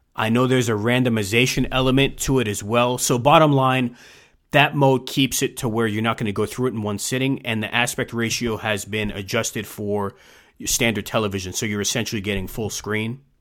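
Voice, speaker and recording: Fairly quick and with fairly even intonation, a man's unremarkable speaking voice at medium pitch comes through a very clean recording with a silent background. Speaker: video game podcast host. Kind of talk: casual chat.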